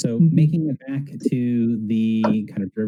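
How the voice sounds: The speaker uses a natural reading voice.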